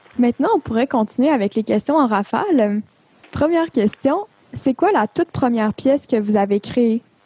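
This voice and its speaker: At a moderate pace, a woman speaks with a high pitch and lively intonation. Her tone is dark and mellow, and her loudness stays very even. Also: dry, close sound with no echo. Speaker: podcast interviewer. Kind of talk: interview.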